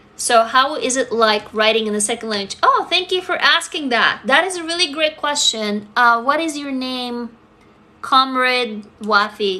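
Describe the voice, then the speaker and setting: A woman speaks at a high pitch with lively intonation and an animated tone. Her voice is raised and projected, and her pace is moderate. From Russia. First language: Russian. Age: 40s. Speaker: writer and social media creator. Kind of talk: livestream chat answering comments. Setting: TikTok live stream.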